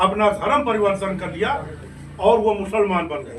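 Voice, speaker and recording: With audible room echo and noticeable background noise, a man speaks at a high pitch. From western Uttar Pradesh, Meerut. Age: 60s. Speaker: politician, former state minister. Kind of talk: interview. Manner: animated.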